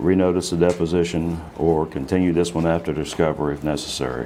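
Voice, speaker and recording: Against noticeable background noise, a man with a very deep, low pitch talks at a fairly quick pace with fairly even intonation. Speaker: attorney. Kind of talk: legal deposition questioning. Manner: fast; formal.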